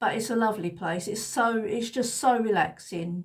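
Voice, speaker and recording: At a fairly slow pace, the speech comes out somewhat breathy. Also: woman. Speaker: lifestyle vlogger. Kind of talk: casual chat. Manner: halting.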